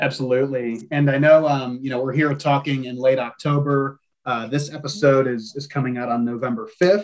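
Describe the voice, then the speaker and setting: Moving at a fairly quick pace with hardly any pauses, an ordinary speaking voice shows ordinary pitch variation. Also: man, fairly high pitch for a man. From Ohio. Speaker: podcast host, trade magazine editor. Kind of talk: podcast interview and news roundup.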